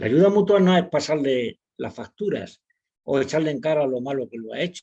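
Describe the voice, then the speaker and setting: Lively intonation from a man with a fairly high pitch, a dark, mellow tone and a fairly slow pace. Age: 70s. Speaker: psychiatrist and author. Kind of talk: webinar lecture.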